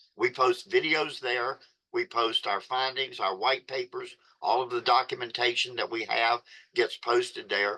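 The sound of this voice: With a bright, sharp tone, a man talks at a medium pitch with ordinary pitch variation.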